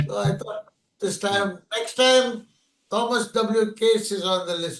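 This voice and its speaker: This man's voice is high in pitch with ordinary pitch movement, and he talks very slowly. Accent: Indian. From India. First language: an Indian language. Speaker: poet. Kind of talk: casual chat. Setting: video call.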